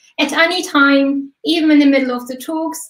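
A high-pitched woman in a quiet background with audible room echo. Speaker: event host. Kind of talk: event host introduction. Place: home room. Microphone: webcam.

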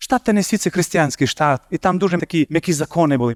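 A man's high voice at a very fast pace, lively in intonation, with a dry, close sound with no echo and a very clean recording with a silent background. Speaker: preacher. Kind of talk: sermon.

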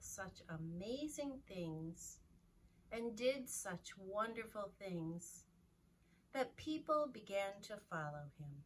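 Somewhat breathy, a woman speaks at a very slow pace with long, frequent pauses over light background noise. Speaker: children's Sunday school storyteller. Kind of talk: slow, calm storytelling to children. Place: classroom. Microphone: camera far.

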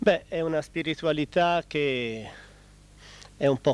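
A man speaks very slowly in a calm tone and a fairly high voice, with ordinary pitch variation. The sound is dry, with no echo. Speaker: friar, convent superior. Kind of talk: TV interview answers, explanatory. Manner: calm, formal, explanatory. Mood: calm, thoughtful. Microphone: handheld.

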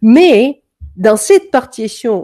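A woman speaks very slowly in a dark, mellow tone with lively intonation. The background is quiet. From Denmark. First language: Danish (speaking French). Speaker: music coach; music teacher. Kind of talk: online masterclass; lecture. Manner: hesitant, many fillers. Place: home room. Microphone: webcam.

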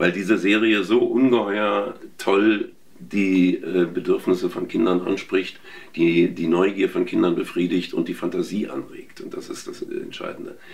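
Big swings in loudness from a man talking at a fairly slow tempo. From Berlin, Germany. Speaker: voice actor. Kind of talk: interview. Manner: hesitant with fillers. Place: home room. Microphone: lapel.

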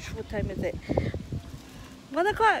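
There is noticeable background noise as a woman speaks with ordinary pitch variation in a dry sound with no echo. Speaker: vlogger. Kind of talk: casual vlog chat. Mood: relaxed, laughing. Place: garden. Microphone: phone near.

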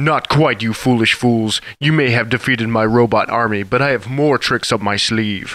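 In a put-on character voice, a man talks at medium pitch and a moderate pace with hardly any pauses. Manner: pompous, gloating.

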